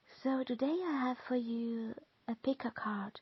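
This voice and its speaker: A woman speaks very slowly in a German accent. Her pitch is fairly high. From Austria, Lower Austria countryside. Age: 40s. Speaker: tarot card reader. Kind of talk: tarot reading and guided visualization. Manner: halting.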